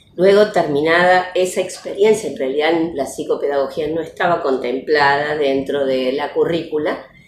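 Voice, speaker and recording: A woman with a very deep, low pitch at a moderate pace, with audible room echo. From Argentina, Córdoba province (Las Varillas). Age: 60s. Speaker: retired educational psychologist and teacher. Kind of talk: interview testimony. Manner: hesitant, many fillers.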